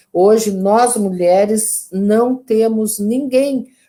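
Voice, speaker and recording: A woman speaks with a dark, mellow tone at medium pitch and fairly even intonation. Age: 70s. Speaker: politician and women's rights activist. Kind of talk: interview closing remarks. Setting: online live stream.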